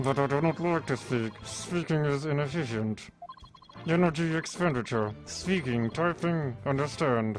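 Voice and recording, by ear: A put-on robotic character voice in a low-to-middle pitch plays over clear music in the background. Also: moderate pace.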